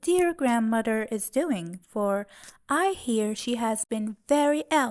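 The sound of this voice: The reading voice sounds unforced. Its intonation moves in a lively way.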